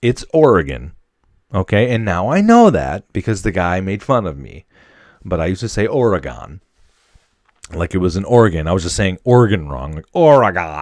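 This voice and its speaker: A man with an American accent speaks at a moderate pace in a very deep, low pitch with vocal fry. His animated tone swings very widely in pitch against a quiet background. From Wisconsin. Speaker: podcast host, airman. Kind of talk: casual solo podcast monologue. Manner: animated, casual.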